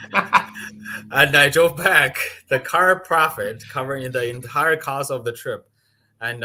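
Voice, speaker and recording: A man with a non-native accent and a bright, sharp tone, speaking at a fairly slow pace in a very clean recording over a silent background. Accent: foreign. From outside the US. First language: not English. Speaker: land investor. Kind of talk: interview. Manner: halting.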